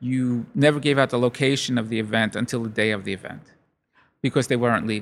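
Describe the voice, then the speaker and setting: A man speaks at a fairly quick pace with a medium pitch, recorded very cleanly against a silent background. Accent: New York. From Brooklyn, New York. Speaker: lighting company owner. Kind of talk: interview. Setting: event studio.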